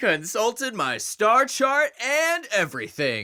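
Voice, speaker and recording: Putting on a character voice, a man speaks at a fairly slow pace with an extremely high pitch. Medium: read story. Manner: breezy, cocky.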